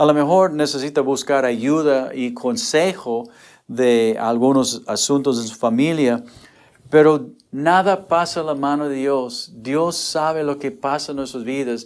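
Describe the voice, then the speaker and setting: This man's voice sits fairly high in pitch for a man, and he speaks at a fairly slow pace. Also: ordinary pitch variation. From United States. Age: 60s. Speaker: pastor. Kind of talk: sermon. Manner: halting.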